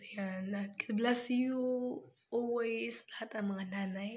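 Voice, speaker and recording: A woman speaks at a very slow pace with monotone, flat intonation. Her fairly high voice carries audible room echo. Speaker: vlogger. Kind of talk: casual vlog. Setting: at home.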